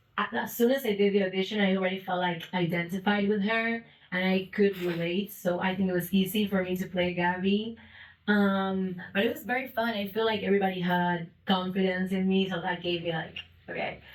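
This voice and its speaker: A woman's medium-pitched voice with fairly even intonation at a fairly quick pace. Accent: non-native. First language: not English. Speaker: actress. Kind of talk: festival Q&A.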